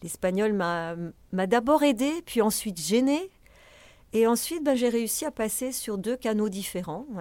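A woman with a fairly high pitch speaks at a fairly slow pace, her intonation lively. Her tone is dark and mellow, on a very clean recording with a silent background. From France. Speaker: festival director. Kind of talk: interview.

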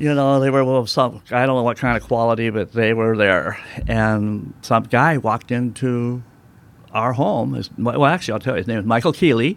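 Talking at a moderate pace with an American accent, a man has a normal speaking voice of medium pitch with ordinary pitch variation. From United States. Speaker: artist. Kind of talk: interview. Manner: casual, chatty.

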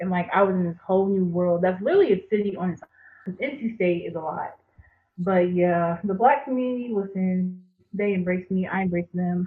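A woman with an American accent, a normal speaking voice, medium pitch, ordinary pitch variation and a fairly quick pace. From rural North Carolina, Jacksonville. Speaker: graduate student. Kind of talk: casual interview conversation.

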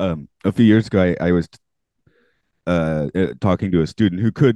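A man's very deep, low voice with ordinary pitch variation, in a dry, close sound with no echo. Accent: American. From Atlanta, US South. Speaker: podcast host. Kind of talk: casual chat, podcast interview. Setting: remote recording, microphone.

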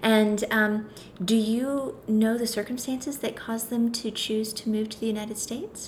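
A somewhat breathy woman's voice, fairly high in pitch, with monotone, flat intonation at a moderate pace. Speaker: podcast host. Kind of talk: interview conversation, warm.

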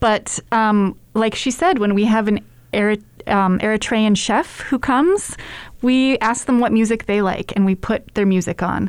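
With a normal speaking voice, a woman talks at a fairly slow pace in a fairly high pitch, using ordinary pitch variation and very even loudness. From United States, partly raised in Germany and Syria. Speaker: food program manager. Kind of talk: casual interview.

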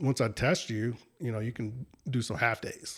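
With an American accent, a man at a medium pitch speaks with fairly even intonation in a very clean recording with a silent background. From north Texas (Lake Dallas, near Denton). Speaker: ski patroller and fishing guide. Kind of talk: casual chat.

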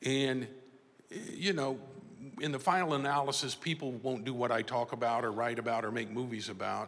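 A man speaks with an American accent at a moderate pace and medium pitch. His is an unremarkable speaking voice with ordinary pitch variation. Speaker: motivational speaker and author. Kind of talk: speech.

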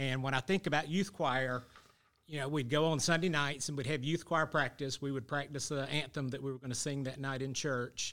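A man talks at a fairly quick pace in a Southern US accent, his voice fairly high-pitched with a bright, sharp tone. His intonation stays fairly even, and the recording is very clean with a silent background. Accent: Southern US (Georgia). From US South. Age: 50s. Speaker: church member. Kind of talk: interview.

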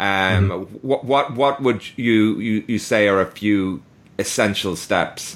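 A man speaks in an ordinary speaking voice, fairly low in pitch, at a fairly slow pace. His loudness stays very even, with ordinary pitch variation. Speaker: podcast host. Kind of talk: interview.

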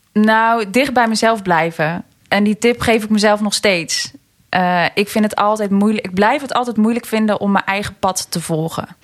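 Her plain, everyday voice sits at a fairly high pitch with ordinary pitch variation. The woman keeps a moderate pace. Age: 20s. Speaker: entrepreneur, personal development coach. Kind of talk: casual interview.

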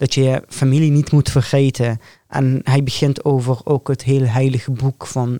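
A man talks in a dark, mellow tone at a medium pitch, with monotone, flat intonation. His loudness stays very even, and the sound is dry and close with no echo. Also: moderate pace. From northern Syria, Raqqa. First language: Arabic (speaking Dutch). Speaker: hospital care worker and aspiring medical student. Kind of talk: podcast interview.

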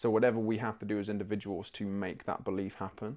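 A man with an English accent and medium pitch, talking very fast against a quiet background. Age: 20s. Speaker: musical theatre actor. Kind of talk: interview.

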